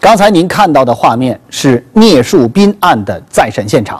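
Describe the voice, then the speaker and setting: A man's voice with very wide pitch swings against a quiet background. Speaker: TV program host. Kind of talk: news presentation. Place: studio. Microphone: lapel.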